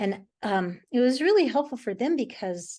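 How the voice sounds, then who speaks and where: Against a quiet background, a woman with a dark, mellow tone speaks at a moderate pace using lively intonation. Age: 60s. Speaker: painter. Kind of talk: casual chat. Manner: halting.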